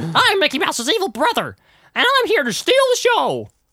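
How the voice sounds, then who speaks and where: The speaker adopts a put-on character voice at an extremely high pitch. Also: moderate pace. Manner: villainous, playful.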